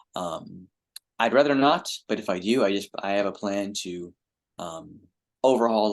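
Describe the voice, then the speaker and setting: This man talks at a fairly slow pace in a fairly low pitch. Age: 30s. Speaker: librarian. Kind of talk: Q&A talk. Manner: halting.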